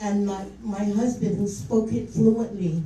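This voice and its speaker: A woman at a fairly slow pace with fairly even intonation, amid noticeable background noise and audible room echo. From Guam. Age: 60s. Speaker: public official speaking at hearing. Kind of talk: public hearing testimony. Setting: public hearing with audience. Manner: unscripted, passionate.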